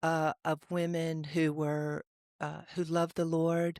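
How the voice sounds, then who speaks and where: Speaking with a Southern US accent, a woman talks at a fairly low pitch and a fairly slow pace. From Mississippi. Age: 60s. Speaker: podcast co-host, recovery coach. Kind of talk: casual discussion. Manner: halting, with many fillers.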